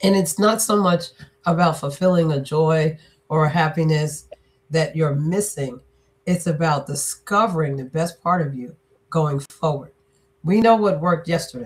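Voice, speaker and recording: A woman's somewhat breathy, fairly low voice at a moderate pace, with ordinary pitch variation. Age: 60s. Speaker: business and leadership strategist, author. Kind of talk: interview.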